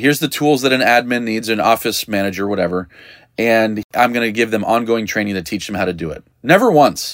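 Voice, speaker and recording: This is a plain, everyday voice with ordinary pitch variation, moving at a fairly quick pace. The recording is very clean, with a silent background. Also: man, medium pitch for a man. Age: 40s. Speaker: podcast host, dog trainer business coach. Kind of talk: solo podcast monologue. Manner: casual, conversational with frequent laughs.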